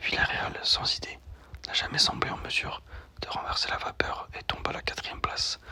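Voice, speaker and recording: Whispered words from a man at a moderate pace, noticeable background noise behind them. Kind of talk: ASMR whisper talk about sports news. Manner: whispered, soft-spoken.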